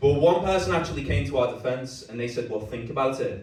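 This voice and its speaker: Speaking with a Liverpool accent, a man uses a medium pitch and ordinary pitch variation over noticeable background noise and audible room echo. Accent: Scouse. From Liverpool, England. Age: 30s. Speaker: stand-up comedian. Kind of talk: stand-up. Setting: stage with audience.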